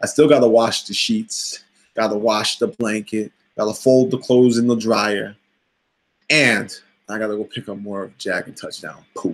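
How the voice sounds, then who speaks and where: The speaker has an energetic tone, talking at a moderate pace with big swings in loudness. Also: man, medium pitch for a man. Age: 30s. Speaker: fitness coach vlogger. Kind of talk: motivational vlog monologue. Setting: live video stream. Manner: energetic, motivational.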